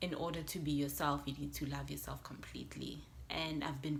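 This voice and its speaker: A woman's voice with audible room echo. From South Africa, west Johannesburg. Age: 20s. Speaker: YouTuber. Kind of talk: casual vlog talk to camera.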